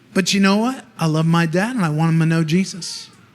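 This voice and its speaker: A man speaks loudly with lively intonation. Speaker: preacher. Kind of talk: sermon. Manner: loud, passionate.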